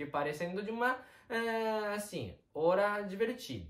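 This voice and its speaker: A man at a very slow pace with a Japanese accent, over noticeable background noise. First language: Japanese (speaking Portuguese). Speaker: Japanese teacher. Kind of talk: online language lesson.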